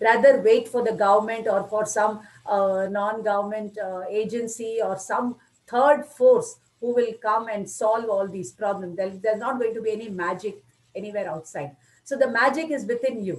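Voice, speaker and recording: Her pitch is fairly high, with ordinary variation. The woman speaks at a moderate pace. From India. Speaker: spiritual lecturer. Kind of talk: lecture. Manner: good flow, clear.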